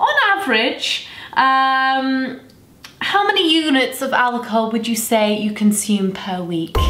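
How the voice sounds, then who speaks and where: In a raised, projected voice, a woman speaks at a very slow pace with audible room echo. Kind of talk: scripted comedy sketch dialogue. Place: home room. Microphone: camera far.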